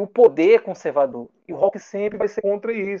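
At a moderate pace, a man with a high pitch talks in a dark, mellow tone. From Brazil, interior of Alagoas. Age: 30s. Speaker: illustrator. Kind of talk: casual interview chat.

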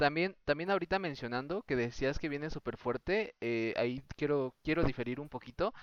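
At a moderate pace, a man with a fairly high pitch and ordinary pitch variation speaks in a plain, everyday voice, the sound dry and close with no echo. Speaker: podcast host. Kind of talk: casual chat. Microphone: own voice recorded too quiet.

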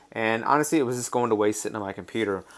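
An American accent is heard on a very clean recording with a silent background. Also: man. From North Carolina, near Raleigh. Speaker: podcast host, lacrosse stats website founder. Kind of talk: casual solo podcast monologue. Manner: halting, many fillers.

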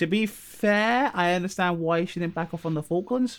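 Speaking with a southern English accent, a man uses a high pitch. His pitch swings very widely. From southern England. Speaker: podcast co-host and YouTuber. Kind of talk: casual chat.

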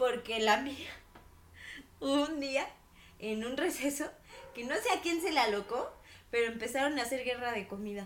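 A woman with a Mexican accent speaks at a high pitch and a moderate pace, her intonation lively. Long, frequent pauses break her speech, and room echo is audible. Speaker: podcast co-host. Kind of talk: casual chat.

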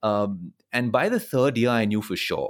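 A normal speaking voice from a man, fairly low-pitched and with ordinary pitch variation. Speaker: media host and producer, former lawyer. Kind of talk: casual interview chat. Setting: at home, remote recording during lockdown.

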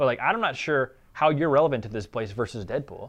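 A man mumbles at a fairly high pitch. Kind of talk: casual interview chat. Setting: studio. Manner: fast talker, mumbles.

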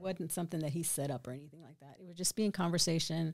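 With a Texan accent, a woman speaks very fast at a fairly low pitch. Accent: Texan American. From Killeen, Texas. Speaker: church member giving testimony. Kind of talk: testimony.

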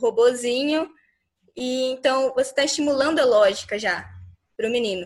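A woman speaks with a high-pitched voice. Her pace is moderate. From Miranda, Mato Grosso do Sul, Brazil. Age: young. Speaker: student. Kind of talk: panel discussion.

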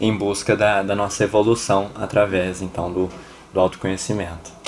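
Speaking at a fairly quick pace, a man with a fairly low voice is heard over noticeable background noise. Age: 20s. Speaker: podcast host. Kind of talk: casual chat.

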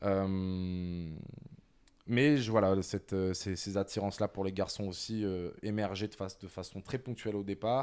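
A man speaks in a normal speaking voice at a fairly low pitch, fairly slow and with fairly even intonation. The recording is very clean, with a silent background. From France. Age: 30s. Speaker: creative agency director. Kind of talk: personal testimony interview.

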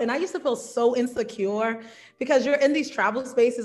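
A plain, everyday voice with an American accent moves at a fairly quick pace with ordinary pitch variation. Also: woman. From New York and South Carolina. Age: 30s. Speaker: travel content creator and teacher. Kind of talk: casual interview.

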